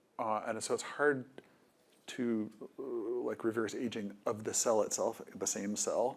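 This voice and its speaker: A quiet man talks at a fairly slow pace with long, frequent pauses. His medium-pitched voice is monotone and flat. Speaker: biotech company CEO. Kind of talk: panel conversation. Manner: hesitant, many fillers.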